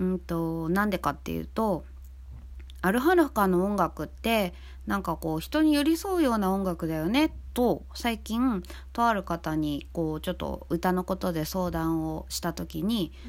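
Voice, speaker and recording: Fairly slow speech from a woman, very cleanly recorded against a silent background. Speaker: band vocalist and podcast host. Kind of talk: casual talk, serious in tone.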